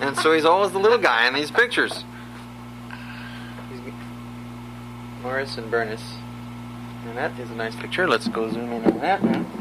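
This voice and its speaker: A man with an American accent, big swings in loudness and long, frequent pauses, over noticeable background noise. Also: moderate pace. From Southern California. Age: 30s. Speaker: family historian. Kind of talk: casual chat.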